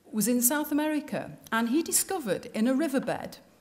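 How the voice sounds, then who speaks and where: A woman speaks with a Liverpool accent. Background noise is noticeable. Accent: Liverpool (Scouse). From northern England, Liverpool. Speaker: designer giving a talk. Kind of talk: public speech. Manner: animated.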